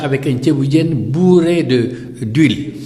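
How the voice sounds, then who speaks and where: Audible room echo and noticeable background noise surround a man's fairly high voice. He talks at a fairly slow pace with ordinary pitch variation. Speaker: dialysis patient and activist. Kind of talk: interview. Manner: animated.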